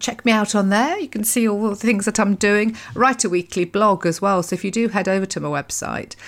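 In a British accent, a woman talks at a fairly quick pace with hardly any pauses, a medium pitch and ordinary pitch variation, on a very clean recording with a silent background. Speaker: podcast host and happiness coach. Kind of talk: solo monologue podcast episode. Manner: fast talker, excitable.

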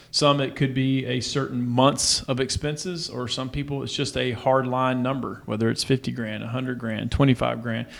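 This is an ordinary speaking voice at a moderate pace. Its intonation is fairly even, with hardly any pauses. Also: man, medium pitch for a man. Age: 40s. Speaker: financial coach and former pro baseball player. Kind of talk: casual interview.

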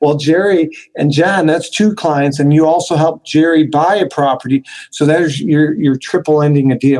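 A man with an unremarkable speaking voice talks at a moderate pace in a fairly high pitch. His intonation is fairly even and his loudness very even. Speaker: podcast host and real estate coach. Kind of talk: interview.

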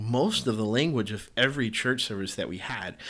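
This man has a medium pitch, ordinary pitch variation and an American accent. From US South. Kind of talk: solo podcast monologue; devotional exhortation. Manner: halting, many fillers.

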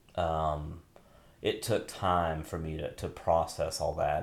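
Amid audible room echo, a man speaks at a fairly slow pace in a very deep, low voice. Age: 50s. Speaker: podcast host and pastor. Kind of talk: casual chat. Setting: home bathroom. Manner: halting.

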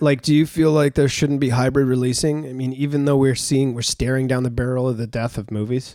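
A man's dark, mellow voice, fairly quick and monotone, with flat intonation. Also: medium pitch for a man, hardly any pauses. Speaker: podcast host. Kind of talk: casual chat. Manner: rambling, informal.

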